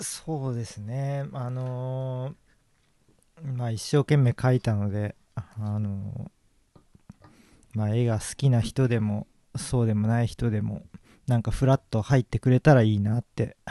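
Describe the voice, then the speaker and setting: A man with a medium pitch and a dark, mellow tone speaks with fairly even intonation and long, frequent pauses. The sound is dry and close, with no echo. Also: fairly slow pace. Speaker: painter. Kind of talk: interview.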